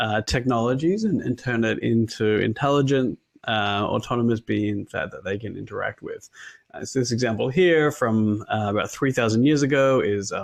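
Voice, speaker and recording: With an Australian accent, a man speaks at medium pitch and a moderate pace. His pitch varies ordinarily against a quiet background. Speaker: machine learning consultant, invited speaker. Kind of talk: conference talk. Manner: halting, many fillers.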